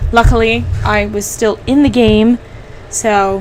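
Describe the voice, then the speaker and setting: Noticeable background noise accompanies a woman who speaks at a fairly slow pace. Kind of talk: casual gameplay commentary. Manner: volume fluctuates from quiet to loud.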